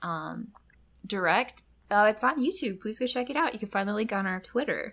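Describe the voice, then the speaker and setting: On a very clean recording with a silent background, a woman speaks at a moderate pace with lively intonation, a fairly high pitch and a bright, sharp tone. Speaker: podcast co-host. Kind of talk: casual chat.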